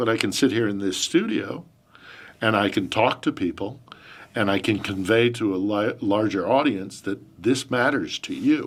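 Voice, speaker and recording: With an American accent, a man uses a normal speaking voice at a medium pitch. His pace is moderate and his pitch variation ordinary. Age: 50s. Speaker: journalist and podcast host. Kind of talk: interview answers. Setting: studio.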